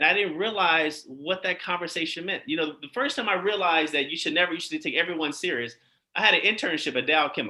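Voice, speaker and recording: A man's very fast, high-pitched speech, bright and sharp in tone, with lively intonation. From Chicago South Side. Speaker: eye surgeon. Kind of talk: interview. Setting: live online show.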